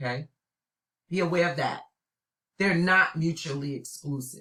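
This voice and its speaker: With a New York accent, a woman speaks in an animated, bright, sharp tone at a fairly low pitch. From New York City (Brooklyn). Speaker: college instructor. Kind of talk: recorded lecture.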